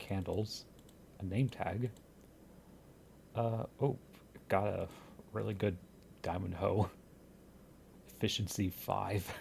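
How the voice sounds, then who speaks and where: A man whispers, somewhat breathy. He goes at a very slow pace with long, frequent pauses. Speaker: gaming youtuber. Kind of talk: gameplay commentary. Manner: whispering.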